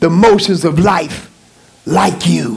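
Very wide pitch swings mark this man's voice. He talks at a very slow pace. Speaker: pastor. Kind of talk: sermon. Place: church. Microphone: headset.

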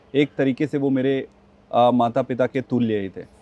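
In a dry recording with no echo, a man speaks with fairly even intonation. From India, Chhattisgarh (village near Bilaspur); Chhattisgarh, India. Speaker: politician; interview guest, politician. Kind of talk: interview; interview answer. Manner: hesitant, frequent filler sounds. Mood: calm, reflective. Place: garden.

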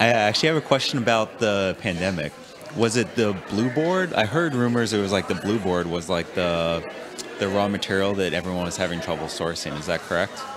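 A man speaks at a fairly quick pace with a fairly low pitch and lively intonation. Noticeable background noise can be heard. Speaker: co-interviewer. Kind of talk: interview.

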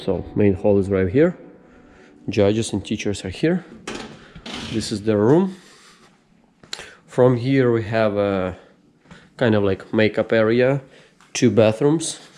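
A man talks at a fairly slow pace with a fairly low pitch. His intonation is lively, and he takes long, frequent pauses. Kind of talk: casual vlog tour. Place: hall. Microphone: phone near.

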